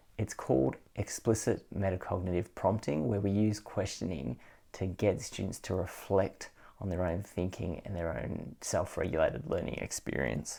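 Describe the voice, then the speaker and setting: A man with a very deep, low voice and a dark, mellow tone speaks with lively intonation and vocal fry. The recording is very clean, with a silent background. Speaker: education trainer. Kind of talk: video tutorial. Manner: fast; casual with many fillers.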